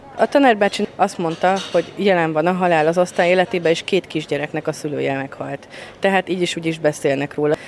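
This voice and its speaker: Noticeable background noise accompanies a woman talking at a very fast pace. Her pitch is fairly low, with ordinary pitch variation. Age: 30s. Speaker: trainee primary school teacher. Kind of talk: interview.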